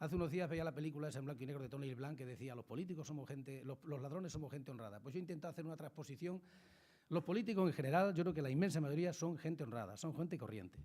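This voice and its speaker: The tone is dark and mellow, and the pace is very fast. Pitch varies in an ordinary way. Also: man, fairly high pitch for a man. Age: 60s. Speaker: politician. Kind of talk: talk to school students.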